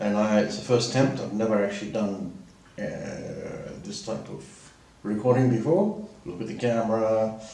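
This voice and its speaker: Amid audible room echo and noticeable background noise, a man with a Southern African accent speaks at a moderate pace, his loudness swinging widely and his pauses long and frequent. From Southern Africa, schooled in Zimbabwe. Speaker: vlogger. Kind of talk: casual monologue. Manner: halting, with many fillers.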